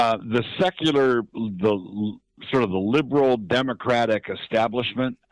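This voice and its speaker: A man talks at a fairly slow pace and a medium pitch, with ordinary pitch variation. It is a plain, everyday voice, on a very clean recording with a silent background. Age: 60s. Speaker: pastor. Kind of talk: interview.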